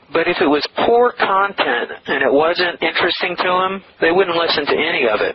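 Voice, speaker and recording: Amid noticeable background noise, a man talks at a moderate pace in a high pitch with ordinary pitch variation and very even loudness. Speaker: online publisher and internet marketer. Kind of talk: interview.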